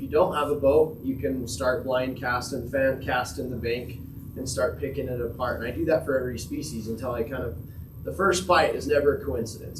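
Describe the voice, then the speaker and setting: In a room with audible echo, a man with an American accent and medium pitch speaks fairly quickly with lively intonation. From Utah, Uintah Basin. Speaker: angler giving a fishing talk. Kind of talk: presentation to a club audience. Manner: quiet.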